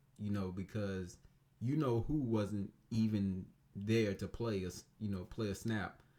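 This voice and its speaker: A man speaks quietly with a dark, mellow tone. His pitch sits fairly low. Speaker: sports reviewer. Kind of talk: casual game review monologue. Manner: quiet, low-key; hesitant, many fillers.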